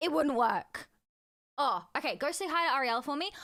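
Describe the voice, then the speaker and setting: Projected and raised, a woman's high-pitched voice has a bright, sharp tone and moves at a fairly quick pace on a very clean recording with a silent background. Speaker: streamer. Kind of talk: casual chat.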